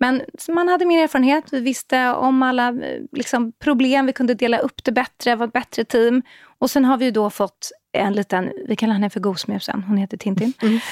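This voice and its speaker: A woman talks at a fairly quick pace in a high voice. Her loudness is very even, and her pitch varies in an ordinary way. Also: very clean recording, silent background. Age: 40s. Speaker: parenting blogger and media entrepreneur. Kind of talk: casual panel chat.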